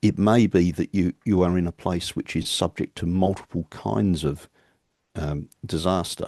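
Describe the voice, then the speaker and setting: A man's very deep, low voice with an Australian accent, dark, mellow tone and ordinary pitch variation, dry and close with no echo against a quiet background. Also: moderate pace. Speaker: keynote speaker, engineering academic. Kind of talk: conference Q&A answer.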